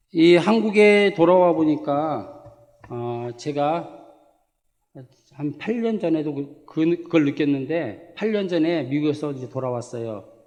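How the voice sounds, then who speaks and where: A man with a fairly high pitch speaks at a very slow pace and with lively intonation. Audible room echo surrounds his voice. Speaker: missionary pastor. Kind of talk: sermon. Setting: church. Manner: halting, with self-corrections.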